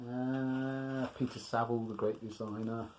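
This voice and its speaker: A man at medium pitch with an English accent and fairly even intonation. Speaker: music collector vlogger. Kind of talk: casual chat. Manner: breathless.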